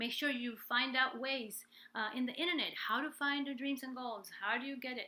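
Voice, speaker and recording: Raising and projecting her high voice, a woman speaks at a moderate pace with fairly even intonation and a bright, sharp tone. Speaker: life and business coach, singer. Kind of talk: live stream coaching talk. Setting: live stream from home.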